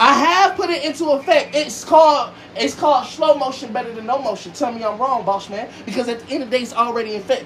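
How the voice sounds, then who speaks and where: Against noticeable background noise, a man with an extremely high pitch talks at a very fast pace in an animated tone with lively intonation. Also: hardly any pauses. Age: 20s. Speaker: online radio show host and music artist. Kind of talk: heated family argument on a livestream. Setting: TikTok livestream.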